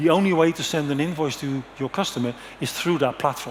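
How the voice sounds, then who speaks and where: A man with a Dutch accent speaks in a fairly high voice. Noticeable background noise is present. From Netherlands. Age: 60s. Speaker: conference speaker. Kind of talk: conference presentation. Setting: stage with audience.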